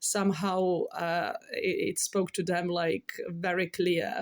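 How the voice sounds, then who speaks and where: A woman with a Serbian accent speaks at medium pitch in a monotone, flat intonation, with a dry, close sound and no echo. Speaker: tarot reader and card artist. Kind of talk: casual spiritual talk to camera. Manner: halting, many fillers.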